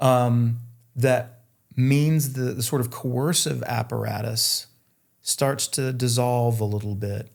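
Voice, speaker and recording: Here a man with a Southern US accent speaks very slowly. His pitch is medium, with fairly even intonation. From North Carolina, US South. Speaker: futurist and author. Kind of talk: interview conversation.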